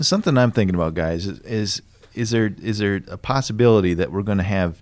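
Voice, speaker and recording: A normal speaking voice from a man, fairly low-pitched and fairly quick, with lively intonation. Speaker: podcast host. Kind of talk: casual interview chat.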